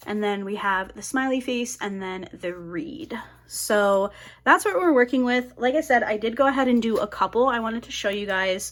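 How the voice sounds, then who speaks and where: Lively intonation marks this woman's ordinary speaking voice, pitched fairly high. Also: very clean recording, silent background. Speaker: crafting YouTuber. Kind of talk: casual crafting tutorial chat. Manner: chatty, many fillers.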